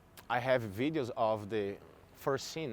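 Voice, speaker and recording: Speaking with a non-native accent, a man's voice sits fairly low in pitch. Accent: foreign. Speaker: eyewitness of a mudslide. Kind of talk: on-camera interview. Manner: halting.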